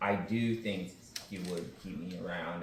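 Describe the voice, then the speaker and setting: Audible room echo mixed with noticeable background noise. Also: man. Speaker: reality game show contestant. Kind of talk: heated debate. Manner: loud.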